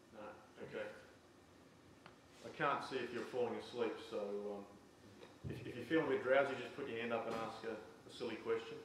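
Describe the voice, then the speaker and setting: Amid noticeable background noise and audible room echo, a man at a medium pitch talks at a fairly quick pace with fairly even intonation and long, frequent pauses. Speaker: farm software presenter. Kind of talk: presentation to audience.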